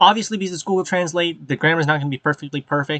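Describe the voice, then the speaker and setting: With a bright, sharp tone and fairly high pitch, a man speaks in a dry, close sound with no echo. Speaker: web novel reader and channel host. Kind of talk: casual reading aloud with commentary. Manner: fast; halting, many filler ums.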